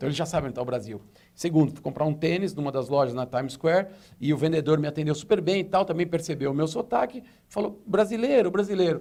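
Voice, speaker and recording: A man speaks at a very fast pace in a high voice, his pitch swinging very widely. His tone is dark and mellow. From Brazil. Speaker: retail consultant. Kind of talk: tv interview. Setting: studio.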